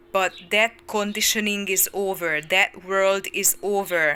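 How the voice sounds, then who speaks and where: With a medium pitch, a woman speaks at a very slow pace. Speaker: spiritual coach. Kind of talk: channeled spiritual talk. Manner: loud, shouting; halting, with fillers.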